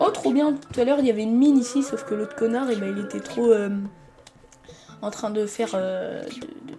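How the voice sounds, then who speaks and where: A woman's high voice at a fairly quick pace, with ordinary pitch variation, long, frequent pauses, big swings in loudness, audible room echo and noticeable background noise. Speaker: gaming streamer. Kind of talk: gameplay commentary. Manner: animated.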